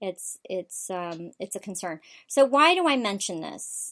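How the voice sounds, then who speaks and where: An ordinary speaking voice from a woman at medium pitch, lively in intonation, in a very clean recording with a silent background. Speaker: political talk show host. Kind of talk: political commentary show.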